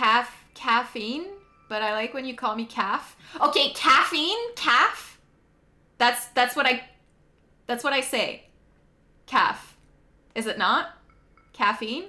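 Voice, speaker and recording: A woman's high, bright, sharp voice in a Quebec accent, very slow pace, ordinary pitch variation, long and frequent pauses. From Quebec, Canada. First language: French. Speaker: video game streamer. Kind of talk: casual chat. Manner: animated.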